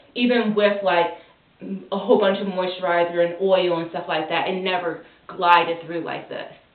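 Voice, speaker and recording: At a moderate pace and medium pitch, a woman talks in a monotone, flat intonation with big swings in loudness amid noticeable background noise. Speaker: parent doing child's hair. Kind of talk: hair care tutorial talk.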